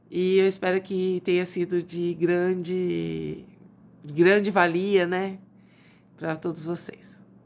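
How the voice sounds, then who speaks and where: A woman speaks at a fairly low pitch with monotone, flat intonation. Her pace is very slow, with long, frequent pauses. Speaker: doctor. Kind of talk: health advice talk. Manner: quiet.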